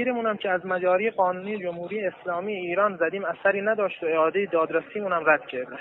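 A man, high-pitched and very fast, with ordinary pitch variation amid noticeable background noise. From Iran. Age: 20s. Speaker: wrestling champion, imprisoned protester. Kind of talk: recorded appeal message. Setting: prison recording.

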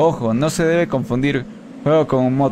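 Noticeable background noise sits behind a man's voice. He talks at a fairly slow pace with ordinary pitch variation. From Ecuador (Quito); Ecuador. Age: 30s. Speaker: gaming streamer. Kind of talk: live gameplay stream with chat reading. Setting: live stream. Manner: casual, thinking aloud. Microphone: headset.

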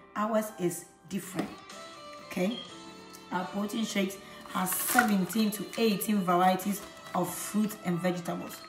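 A woman speaks with clear music playing behind her. Her intonation stays fairly even. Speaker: product seller. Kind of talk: casual vlog chat. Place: kitchen. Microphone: phone near.

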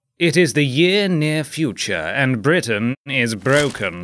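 With music in the background, a man speaks at a very slow pace, his fairly high voice making very wide pitch swings. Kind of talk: video game trailer narration. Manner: comedic, tongue-in-cheek.

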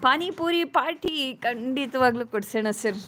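The speaker is a woman. Her pitch is high. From Karnataka, Mysuru region (Hunsur). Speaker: vlogger. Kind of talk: live stream chat with viewers.

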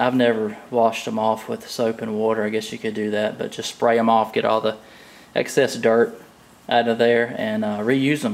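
A man talks at a moderate pace. His intonation is monotone and flat. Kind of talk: tutorial. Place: garage.

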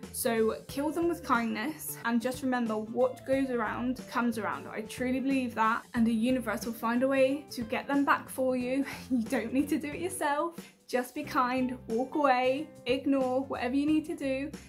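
A woman's high-pitched voice with ordinary pitch variation at a moderate pace, faint music playing in the background. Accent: British. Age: 20s. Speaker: YouTuber and health worker. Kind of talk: casual talk to camera. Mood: warm, earnest. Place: home room. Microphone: phone near.

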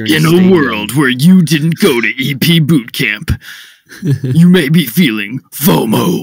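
A man's put-on character voice at a fairly high pitch and fairly slow pace. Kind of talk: epic, trailer-style. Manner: dramatic.

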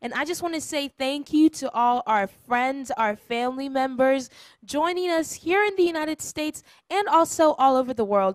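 This woman has a high pitch, lively intonation and an animated tone at a moderate pace. The sound is dry with no echo, and the background is quiet. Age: 20s. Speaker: church program host. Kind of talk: welcome announcements; casual chat. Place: studio. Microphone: handheld.

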